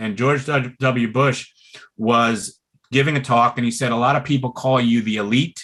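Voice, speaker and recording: In an American accent, a man talks at a medium pitch with a bright, sharp tone. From Brooklyn, New York. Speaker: pulmonary rehab doctor. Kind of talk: webinar talk. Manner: slow, relaxed tonight.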